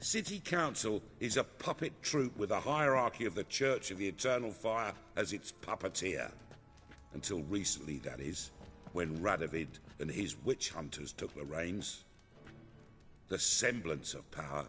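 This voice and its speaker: Putting on a gruff character voice with a very deep, low pitch, a man speaks at a moderate pace, his pitch swinging very widely over clear background noise. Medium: video game. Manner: gruff, blunt, working-class speech.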